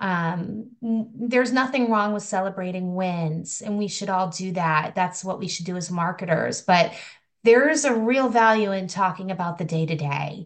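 Here is a woman with an unremarkable speaking voice at a medium pitch. She talks at a moderate pace with ordinary pitch variation. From rural Massachusetts, US. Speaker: higher education marketing consultant. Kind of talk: podcast interview.

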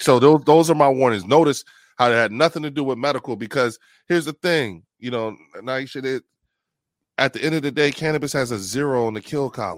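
Over a very clean, silent background with a dry, close sound and no echo, a man with an American accent talks fairly quickly in an ordinary speaking voice, at a medium pitch with ordinary pitch variation. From New Jersey, Trenton. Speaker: cannabis advocate and army veteran. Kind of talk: interview conversation.

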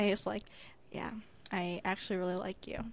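A loud woman at a moderate pace with fairly even intonation. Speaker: podcast co-host. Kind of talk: casual chat.

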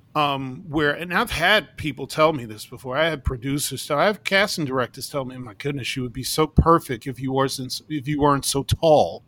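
With an American accent, a man talks at a fairly quick pace with hardly any pauses, his fairly high voice bright and sharp, showing ordinary pitch variation and big swings in loudness. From New York City. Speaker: circus ringmaster and performer. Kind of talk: casual interview chat.

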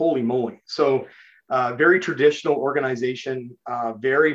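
Medium pitch from a male speaker. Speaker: chief information officer. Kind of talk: casual interview conversation. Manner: fast talker; excitable.

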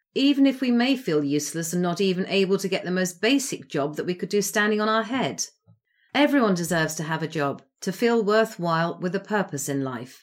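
With an English accent, a woman speaks at a fairly quick pace with very wide pitch swings on a very clean recording with a silent background. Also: medium pitch for a woman. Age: 60s. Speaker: podcast host. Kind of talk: solo monologue.

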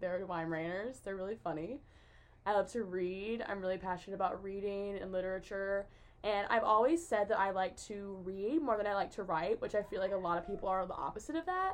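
Speaking with an American accent, a woman has a plain, everyday voice at medium pitch. She talks at a fairly quick pace with ordinary pitch variation. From US South, West Tennessee. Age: young. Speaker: college student. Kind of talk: casual chat.

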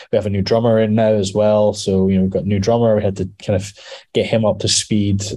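A man with a Scottish accent talks very fast in a dark, mellow tone at a fairly low pitch. His loudness stays very even and his intonation monotone and flat. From Scotland, Edinburgh. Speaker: metal musician. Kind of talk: casual interview.

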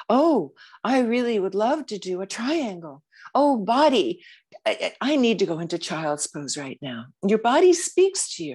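Against a quiet background, a woman with a fairly high pitch and vocal fry speaks at a fairly slow pace, her pitch swinging very widely. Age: 70s. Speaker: yoga teacher. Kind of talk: casual chat. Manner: animated.

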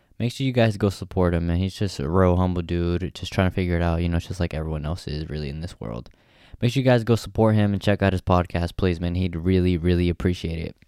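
This voice has an American accent, a dark, mellow tone and ordinary pitch variation. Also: man. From Stockton, California. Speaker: podcast host. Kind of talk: casual chat.

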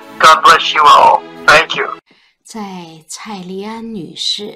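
The delivery has a solemn tone, and the recording is very clean with a silent background. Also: woman. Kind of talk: poem performed, devotional reading aloud; personal tribute and remembrance. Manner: solemn, lyrical, measured, reverent.

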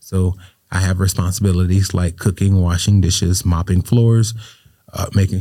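This man has a very deep, low pitch and a dark, mellow tone. He speaks in a flat monotone at a moderate pace. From Florida, Riviera Beach. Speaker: state senator. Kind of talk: interview.

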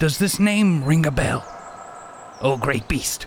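Here is a put-on character voice at a fairly slow pace. Background noise is clearly heard. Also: man, fairly high pitch for a man. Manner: ingratiating, self-assured.

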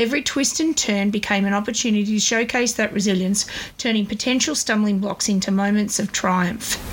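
Her medium-pitched voice carries an Australian accent as the woman speaks. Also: ordinary pitch variation, fairly quick pace. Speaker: podcast host, small business owner. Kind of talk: scripted monologue. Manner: fluent, talkative.

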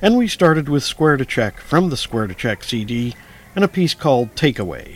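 A man speaks at a moderate pace with a fairly high pitch. It is a normal speaking voice. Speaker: radio host. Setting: radio studio broadcast. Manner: smooth, even, polished broadcaster delivery; brisk, rattling off track and album titles.

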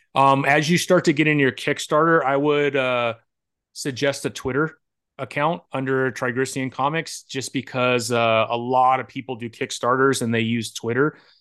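Over a quiet background, a man with a plain, everyday voice speaks at a moderate pace and medium pitch, his intonation fairly even. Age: 40s. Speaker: comic book interview host and indie comic creator. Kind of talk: casual interview chat.

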